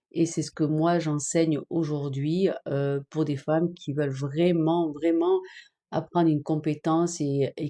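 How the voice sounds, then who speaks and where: Over a quiet background, a woman speaks at a fairly slow pace in a very deep, low voice with a dark, mellow tone and monotone, flat intonation. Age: 50s. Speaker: online business trainer. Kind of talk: live stream chat. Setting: TikTok live stream. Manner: hesitant, many fillers.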